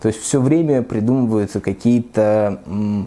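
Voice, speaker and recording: Fairly low in pitch, a man speaks with a dark, mellow tone at a moderate pace and with ordinary pitch variation. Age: 30s. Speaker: human rights lawyer. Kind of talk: interview monologue. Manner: halting, many filler sounds.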